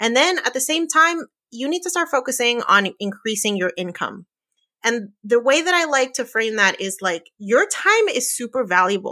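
A woman with an American accent speaks at a high pitch in a bright, sharp, animated tone at a moderate pace, her pitch swinging very widely. The recording is very clean, with a silent background. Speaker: personal finance podcaster. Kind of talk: interview.

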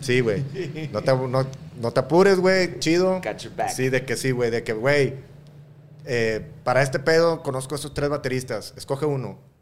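A man speaks at a fairly slow pace. His pitch varies in an ordinary way, and he has an unremarkable speaking voice. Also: medium pitch for a man. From Mexico, Matamoros (Tamaulipas). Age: 40s. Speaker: rock musician, band leader and solo artist. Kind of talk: casual interview chat.

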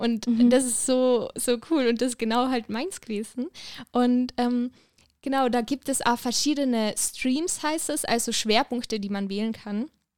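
The recording is very clean, with a silent background. A woman with a high pitch speaks at a fairly slow pace with fairly even intonation. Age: 20s. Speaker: student. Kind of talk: casual interview.

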